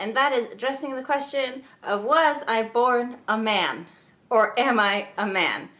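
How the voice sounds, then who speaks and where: Audible room echo surrounds a woman speaking fairly slowly at a high pitch with ordinary pitch variation. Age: young. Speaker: YouTuber. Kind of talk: casual vlog talk.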